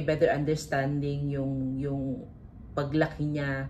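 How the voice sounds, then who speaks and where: Audible room echo surrounds this recording. A woman speaks with a very deep, low pitch. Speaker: vlogger and business owner. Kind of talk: vlog talk to camera. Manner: talkative.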